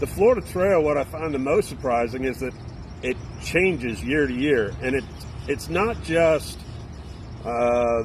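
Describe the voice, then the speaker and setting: A man at medium pitch, with lively intonation, a fairly slow pace and long, frequent pauses. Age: 50s. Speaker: thru-hiker, retired navy veteran. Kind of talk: interview. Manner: casual, halting with fillers.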